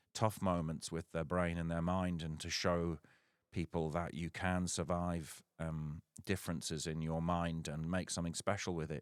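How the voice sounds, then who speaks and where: On a very clean recording with a silent background and a dry, close sound with no echo, a man with a very deep, low pitch talks at a moderate pace in monotone, flat intonation. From northeast England (Sunderland area). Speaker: musician and novelist. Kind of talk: casual livestream talk. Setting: livestream. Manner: hesitant, many fillers.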